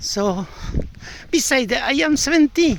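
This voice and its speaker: Noticeable background noise sits behind a man who speaks fairly slowly with lively intonation. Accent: strong Andalusian. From Andalusia, Spain. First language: Spanish. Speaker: language learner sharing comments. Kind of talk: casual spoken monologue. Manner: halting, with many fillers and repetitions.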